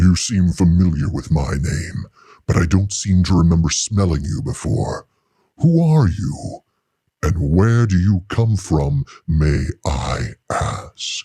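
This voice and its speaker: A man growls in a put-on character voice at a very deep, low pitch. He keeps a fairly slow pace. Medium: read story. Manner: sneering, scoffing, mockingly polite.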